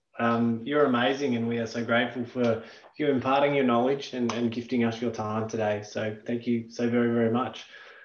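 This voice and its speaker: A fairly quick delivery in a monotone, flat intonation comes through light background noise and audible room echo. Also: man, medium pitch for a man. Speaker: company manager; session host. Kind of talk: event introduction. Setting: online live session. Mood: warm, grateful. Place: home room. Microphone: video call.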